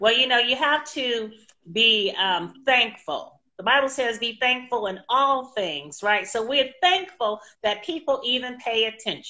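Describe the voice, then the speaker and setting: A woman with a high voice speaks in an animated, warm tone, her intonation lively. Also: fairly slow pace. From San Francisco, California. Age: 50s. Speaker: interview show host and podcaster. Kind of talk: casual interview chat. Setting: live video stream from a studio.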